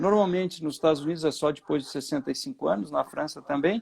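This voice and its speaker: Very wide pitch swings mark a man's very fast delivery. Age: 60s. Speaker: finance professor. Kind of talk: interview conversation.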